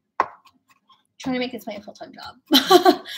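A woman talks at a moderate speed, her pitch swinging very widely, with noticeable noise in the background. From Filipino Chinese heritage. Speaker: cooking streamer. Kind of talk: live cooking stream. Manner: casual and chatty. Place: kitchen. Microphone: webcam.

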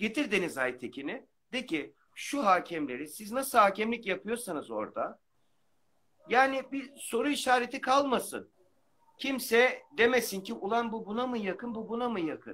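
This man has an extremely high pitch and a bright, sharp tone. He speaks at a moderate pace with lively intonation. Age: 40s. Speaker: amateur football referee. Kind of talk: live-stream call-in chat. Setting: video call on a live stream.

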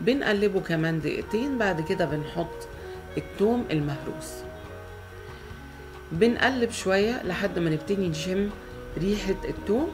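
A woman with an Egyptian accent talks at a fairly slow pace with long, frequent pauses. Music plays in the background. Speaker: home cook, cooking channel host. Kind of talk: cooking tutorial narration.

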